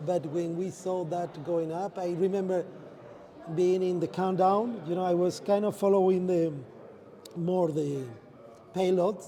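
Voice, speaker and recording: Noticeable background noise sits under a high-pitched male voice. He speaks fairly slowly, with long, frequent pauses. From Spain. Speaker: space industry executive. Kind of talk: interview. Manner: halting.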